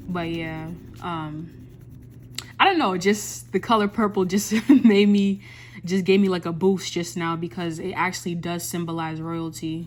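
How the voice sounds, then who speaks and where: A woman with a fairly low pitch and a plain, everyday voice, speaking at a fairly slow pace with ordinary pitch variation. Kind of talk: ASMR coloring video with soft motivational talk; casual talk to camera. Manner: soft-spoken, calming, rambling.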